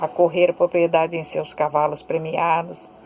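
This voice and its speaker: A woman talking at a fairly slow pace, with music in the background. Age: 70s. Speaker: author. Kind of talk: reading aloud; casual chat.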